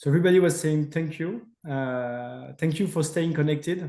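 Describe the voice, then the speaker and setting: A man with a French accent, fairly high in pitch, at a moderate pace and with ordinary pitch variation. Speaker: company representative. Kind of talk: webinar Q&A and closing. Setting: online webinar.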